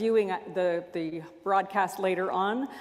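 Moderate pace and ordinary pitch variation against a quiet background. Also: woman. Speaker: minister leading worship. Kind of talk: worship welcome and announcements. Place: church.

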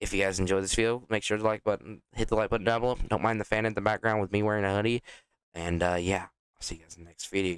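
Speech comes at a very fast pace with fairly even intonation and big swings in loudness. The sound is dry and close, with no echo. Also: man, fairly low pitch for a man. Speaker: gaming youtuber. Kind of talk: gameplay commentary. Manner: casual, rambling.

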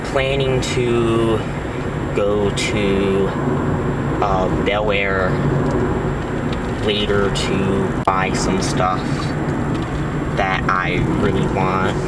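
A man speaks at a very slow pace with long, frequent pauses, the sound dry with no echo but the background noise loud. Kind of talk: casual vlog chat. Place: car. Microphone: phone near.

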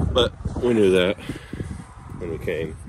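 Someone speaks at a moderate pace. Loud background noise is present. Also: man. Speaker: homestead vlogger. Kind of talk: casual vlog narration. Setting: outdoors. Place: open country. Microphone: phone near.

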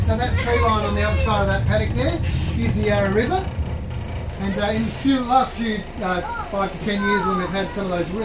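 Fairly quick speech against loud background noise. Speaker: volunteer railway guide. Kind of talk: tour commentary. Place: train. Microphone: camera far.

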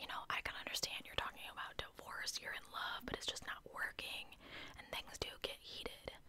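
Whispering, a woman speaks at a moderate pace. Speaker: true crime storyteller. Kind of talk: casual commentary. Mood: suspicious, opinionated. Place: home room. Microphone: studio mic.

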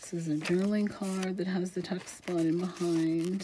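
Amid noticeable background noise, a woman speaks in a fairly low pitch with monotone, flat intonation. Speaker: craft channel host selling journals. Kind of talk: casual video flip-through narration. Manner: chatty, casual, laughs often.

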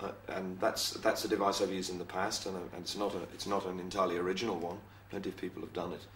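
Over light background noise and with audible room echo, a man talks at a very fast pace. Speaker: interviewee. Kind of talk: interview answer. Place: office.

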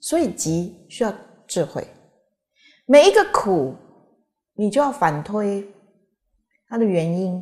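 A woman at a very slow pace, with very wide pitch swings, against a quiet background. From Taiwan. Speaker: Buddhist teacher. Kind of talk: Dharma lecture with anecdotes. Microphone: podium.

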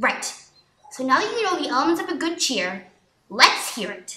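A put-on character voice that swings very widely in pitch. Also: woman, high pitch for a woman, moderate pace. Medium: dub. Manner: bossy, impatient, coaching.

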